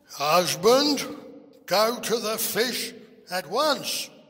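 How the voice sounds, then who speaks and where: A man adopts a put-on character voice, high in pitch and very slow in pace. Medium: read story. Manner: imperious, demanding.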